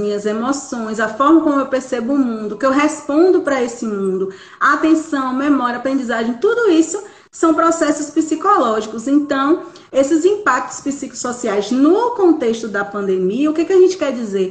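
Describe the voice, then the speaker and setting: A woman's high voice with lively intonation at a moderate pace, over noticeable background noise. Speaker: psychologist. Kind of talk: live stream talk.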